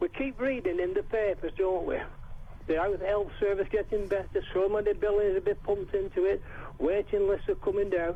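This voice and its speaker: A man talks at a fairly quick pace in a dark, mellow tone. His intonation is lively and his loudness very even. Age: 70s. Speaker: caller. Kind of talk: casual chat.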